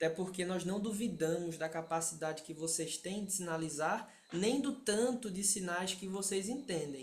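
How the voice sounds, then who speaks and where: In a Pernambuco accent, a man talks at a moderate pace with hardly any pauses. His pitch is high with ordinary variation, and the room echo is audible. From Pernambuco, Brazil. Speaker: sign language interpreter and instructor. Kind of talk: lecture.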